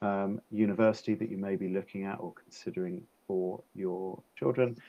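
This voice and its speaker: With an English accent, a man speaks at a moderate pace, fairly low in pitch, with fairly even intonation. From England, near London. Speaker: education consultant. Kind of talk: webinar presentation. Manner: hesitant, many fillers.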